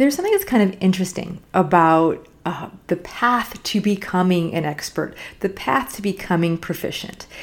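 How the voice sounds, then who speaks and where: Somewhat breathy woman's voice at medium pitch, ordinary pitch variation, moderate pace and hardly any pauses. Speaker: podcast host. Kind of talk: solo podcast monologue.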